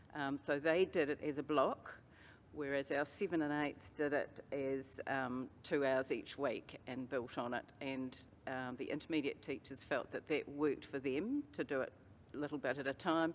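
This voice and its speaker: This woman has a very deep, low pitch and a New Zealand accent. She keeps a moderate pace with fairly even intonation. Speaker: teacher. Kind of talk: conference presentation.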